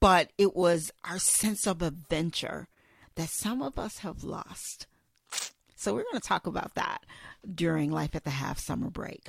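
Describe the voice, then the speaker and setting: A woman with a fairly low pitch and lively intonation speaks at a fairly slow pace, an ordinary speaking voice. The recording is very clean, with a silent background. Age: 50s. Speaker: podcast host. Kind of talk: solo podcast monologue. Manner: casual with frequent fillers.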